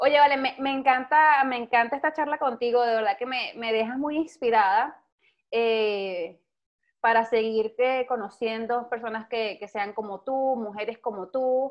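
A woman's high-pitched voice at a moderate pace. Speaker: podcast host. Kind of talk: interview. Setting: at home. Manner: animated.

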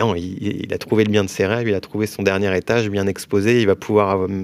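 This man talks at a fairly quick pace in a fairly low pitch, his intonation monotone and flat. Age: 30s. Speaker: mortgage broker, company founder. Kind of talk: casual interview.

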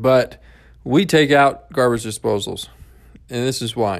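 Recorded very cleanly against a silent background, a man uses a plain, everyday voice at medium pitch with an American accent. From rural US, grew up on a farm. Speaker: real estate company CEO and podcast host. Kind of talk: solo podcast talk, informal business explainer. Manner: conversational, informal, sales-oriented.

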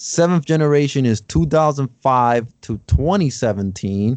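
A man has an ordinary speaking voice at medium pitch with ordinary pitch variation. The sound is dry and close with no echo. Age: 30s. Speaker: podcast host. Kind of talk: casual chat.

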